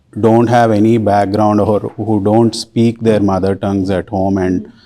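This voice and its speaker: A man with a Telugu accent speaks at a fairly low pitch and a moderate pace, with a dark, mellow tone and monotone, flat intonation. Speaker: volunteer Sanskrit and scripture teacher. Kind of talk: interview. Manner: halting, many fillers.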